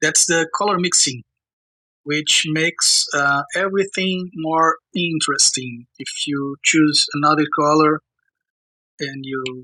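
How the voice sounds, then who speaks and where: A man with a bright, sharp tone and a fairly high pitch talks at a fairly slow pace with ordinary pitch variation, recorded dry and close with no echo. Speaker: illustrator and art educator. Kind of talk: tutorial. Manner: halting, many fillers; casual.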